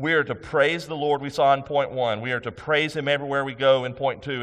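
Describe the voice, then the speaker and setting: A man talks. Noticeable noise sits in the background. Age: 50s. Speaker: senior pastor. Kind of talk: sermon. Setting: church.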